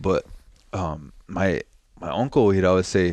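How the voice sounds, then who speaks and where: Over a quiet background, a man speaks with a very deep, low pitch. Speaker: Lakota language teacher and social media comedian. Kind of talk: casual chat. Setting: studio. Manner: laid back.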